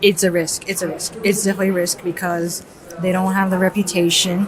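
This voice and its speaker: A woman speaks at a medium pitch in a flat monotone, with noticeable background noise. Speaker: artist vlogger. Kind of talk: vlog monologue. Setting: art fair, public venue. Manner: quiet, trying not to speak loudly.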